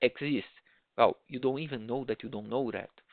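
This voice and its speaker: A man with a Portuguese accent and ordinary pitch variation. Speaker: project management trainer. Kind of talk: online lecture. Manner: halting, with many restarts.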